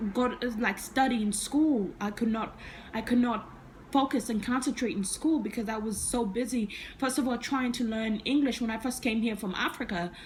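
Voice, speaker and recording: Through noticeable background noise, a woman talks at a moderate pace. Her fairly high voice keeps a fairly even intonation. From Uganda (Kampala), moved to US at about nine. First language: Ugandan language. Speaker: vlogger. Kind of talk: personal story vlog.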